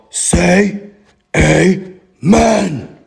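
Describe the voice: A man's put-on character voice, raspy and growling, high-pitched for a man.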